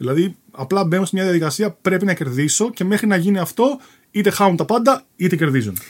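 A man speaks at a fairly quick pace. His voice is high in pitch. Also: lively intonation. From Athens, Greece. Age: 40s. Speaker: radio producer and former poker player. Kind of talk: casual interview chat.

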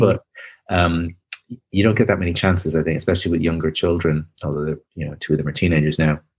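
Speaking with a Dublin accent, a man uses a very deep, low voice. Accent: Dublin Irish. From Ireland, Dublin. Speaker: author. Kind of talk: interview. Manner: halting.

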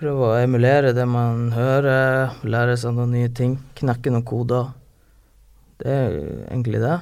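The speech is fairly slow, with monotone, flat intonation and very even loudness. The recording is very clean, with a silent background. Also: man, medium pitch for a man. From northern Norway, Harstad. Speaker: rapper. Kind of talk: casual chat.

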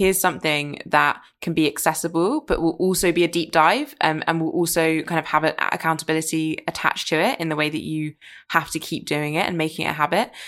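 A woman with a fairly low pitch speaks in a normal speaking voice at a fairly quick pace, her intonation fairly even and her pauses few. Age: 20s. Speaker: podcast host. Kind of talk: interview conversation.

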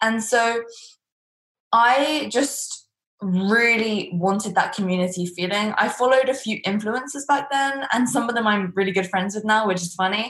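A woman with a fairly high pitch speaks at a moderate pace with ordinary pitch variation. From England. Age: 20s. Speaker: entrepreneur and business coach. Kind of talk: interview. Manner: blunt, to the point.

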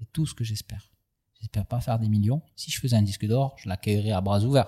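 On a very clean recording with a silent background and a dry, close sound with no echo, a man speaks in a somewhat breathy, dark, mellow tone with ordinary pitch variation. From southern France, Aubagne. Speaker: rapper and tattoo artist. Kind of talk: casual interview. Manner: animated.

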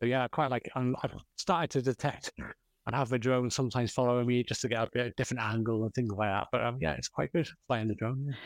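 A man with a North Wales accent at a medium pitch, very fast, in a dry, close sound with no echo and a very clean recording with a silent background. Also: ordinary pitch variation. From North Wales, Flintshire. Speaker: metal detectorist. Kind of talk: interview chat.

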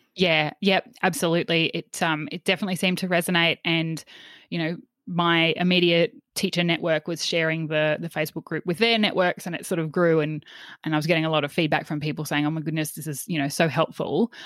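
A woman's fairly low voice in an Australian accent, very fast with fairly even intonation, dry and close with no echo on a very clean recording with a silent background. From Australia, central Queensland. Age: 30s. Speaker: former teacher, wellbeing coach and podcaster. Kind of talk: interview conversation.

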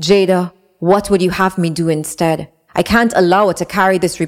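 The speaker is reading aloud in a natural voice. Intonation stays fairly even over a quiet background.

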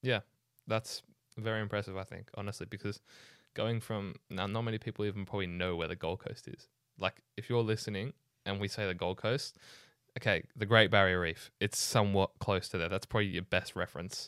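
A man at a fairly low pitch has an unremarkable speaking voice. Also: fairly even intonation. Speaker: podcast host. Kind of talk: casual interview chat.

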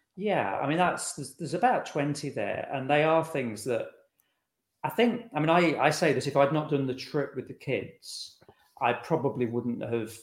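This man's voice sounds somewhat breathy, with ordinary pitch variation. He keeps a moderate pace. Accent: American. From England, Lincolnshire (Boston). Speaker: author. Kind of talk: interview.

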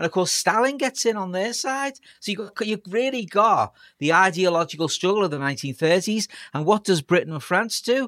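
A man's high-pitched voice with a Liverpool accent, lively intonation and a fairly quick pace, dry and close with no echo. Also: very clean recording, silent background. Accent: Scouse (Liverpool). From Liverpool, England. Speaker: historian professor. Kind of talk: casual chat.

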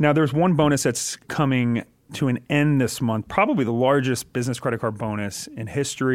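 A man speaks in a normal speaking voice at medium pitch with ordinary pitch variation. His pace is fairly quick, and the recording is very clean with a silent background. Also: hardly any pauses. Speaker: podcast host. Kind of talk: casual interview chat.

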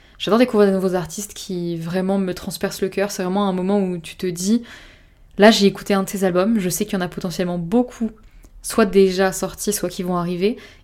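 At a fairly quick pace, a woman speaks with monotone, flat intonation. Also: medium pitch for a woman. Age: 20s. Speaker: podcaster. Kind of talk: personal monologue. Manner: smiling voice.

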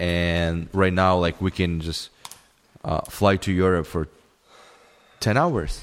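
Very slowly and with long, frequent pauses, a man with a Russian accent speaks at a very deep, low pitch in fairly even intonation. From former Soviet Union. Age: 30s. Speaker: podcaster's roommate. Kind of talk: casual chat. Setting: home recording. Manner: halting.

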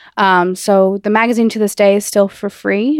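Recorded very cleanly over a silent background, a woman with a normal speaking voice and an American accent talks at a moderate pace and medium pitch with fairly even intonation, the sound dry and close with no echo. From New Jersey. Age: 20s. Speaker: magazine founder and editorial assistant. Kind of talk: interview.

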